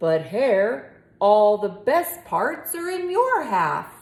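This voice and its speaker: Using a put-on character voice, a woman speaks very slowly at a fairly high pitch. Her pitch swings very widely. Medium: read story. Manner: slow, grumbling.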